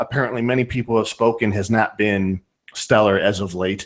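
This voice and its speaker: A man speaks at a moderate pace with a northern Ohio accent. His pitch sits fairly low. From US, northern Ohio. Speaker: podcast host. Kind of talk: casual chat.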